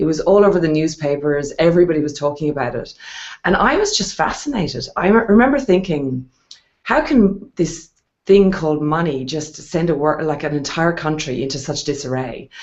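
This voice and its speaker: A woman's very deep, low voice with ordinary pitch variation and an Irish accent. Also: fairly quick pace. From Ireland. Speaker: wealth strategist and investor. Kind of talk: interview on a video hangout.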